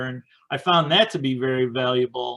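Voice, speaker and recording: A fairly slow, fairly high male voice with ordinary pitch variation, on a very clean recording with a silent background. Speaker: indie author. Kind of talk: casual presentation. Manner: hesitant, many fillers.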